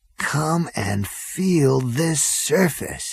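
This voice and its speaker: A quiet, put-on character voice sits at a middle pitch. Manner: awestruck, hushed.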